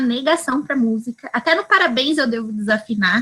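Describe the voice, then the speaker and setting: A woman speaks in a high voice with lively intonation. She has a strong São Paulo interior accent. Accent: strong São Paulo interior accent, retroflex R. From interior of São Paulo state, Brazil. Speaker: early childhood educator in study group. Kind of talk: casual self-introduction. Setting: video call.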